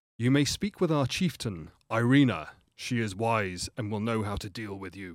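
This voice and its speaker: A man puts on a guttural character voice at a medium pitch. He speaks at a moderate pace. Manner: aggressive, then awed.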